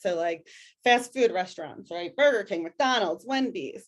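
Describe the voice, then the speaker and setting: In a Philadelphia accent, a woman speaks with lively intonation against a quiet background. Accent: Philadelphia-area (Delco). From Delaware County, Pennsylvania (Delco). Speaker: educator presenter. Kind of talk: webinar presentation. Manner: casual, many fillers.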